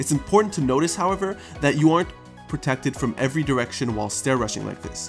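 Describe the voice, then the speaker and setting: A man's speech races along very quickly, his pitch swinging very widely, with music playing behind him. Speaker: gaming YouTuber. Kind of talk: game tutorial narration. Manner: casual, conversational.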